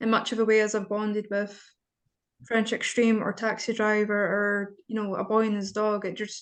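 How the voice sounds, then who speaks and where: A woman speaks in a fairly high pitch with a Scottish accent. The background is quiet. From Scotland. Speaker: interviewer, writer. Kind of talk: interview. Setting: video call.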